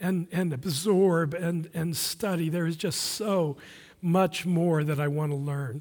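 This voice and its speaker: Recorded very cleanly against a silent background, a man speaks at a fairly slow pace with a high pitch and fairly even intonation. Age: 60s. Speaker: visiting pastor. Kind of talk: sermon. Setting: church. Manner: halting, many fillers.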